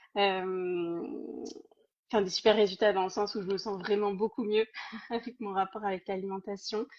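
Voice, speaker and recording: A woman speaks in a monotone, flat intonation. Her pauses are long and frequent. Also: medium pitch for a woman, moderate pace. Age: 30s. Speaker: program participant giving testimony. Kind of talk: testimony.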